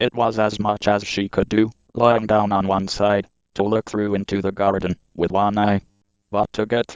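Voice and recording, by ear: The clip is reading aloud in a natural voice against a quiet background.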